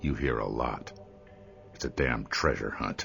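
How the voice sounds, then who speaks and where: Over clear background noise, a man does a growling, put-on character voice at a moderate pace. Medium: video game. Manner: curt, deadpan.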